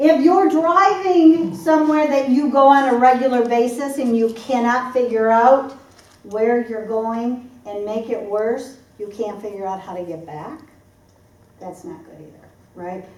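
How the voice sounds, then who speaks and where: A woman with an American accent speaks in an animated tone at a fairly slow pace, her high voice swinging very widely in pitch, with audible room echo and noticeable background noise. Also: big swings in loudness. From US Midwest, Michigan (Detroit area). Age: 60s. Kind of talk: seminar talk.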